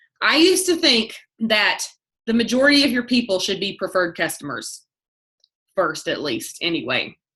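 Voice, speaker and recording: At a moderate pace, a woman speaks in an animated, bright, sharp tone, her fairly high pitch swinging very widely. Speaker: network marketing team leader. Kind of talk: motivational team call.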